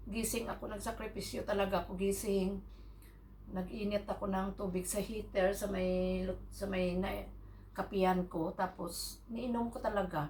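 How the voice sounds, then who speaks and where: A woman speaks at a moderate pace and medium pitch, with monotone, flat intonation. Audible room echo and noticeable background noise are present. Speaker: vlogger. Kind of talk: casual vlog chat.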